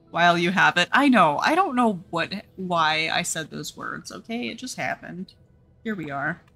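A woman with an American accent, fairly low pitch, lively intonation and a moderate pace, with music in the background. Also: big swings in loudness. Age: 30s. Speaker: gaming streamer. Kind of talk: casual live-stream chat while gaming.

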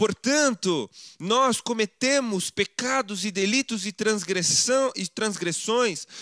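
Speaking at a very slow pace, a man with a high pitch and a bright, sharp tone uses ordinary pitch variation, his voice dry with no echo against a quiet background. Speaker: preacher. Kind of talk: sermon. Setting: church. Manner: formal, didactic; emphatic, persuasive. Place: home room.

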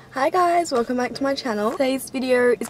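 A woman's high-pitched voice, with light background noise and a dry sound with no echo. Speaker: vlogger. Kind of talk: casual vlog chat. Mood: excited, friendly. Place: car. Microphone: phone near.

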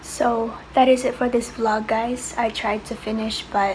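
Through noticeable background noise, a woman speaks at a very slow pace with monotone, flat intonation. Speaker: vlogger. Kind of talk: casual vlog chat. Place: home room. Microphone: phone near.

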